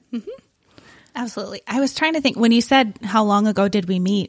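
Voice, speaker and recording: A woman with an American accent, fairly high-pitched and somewhat breathy, with ordinary pitch variation and a moderate pace, in a dry, close sound with no echo. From Wisconsin. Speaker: missions coordinator. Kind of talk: casual interview chat.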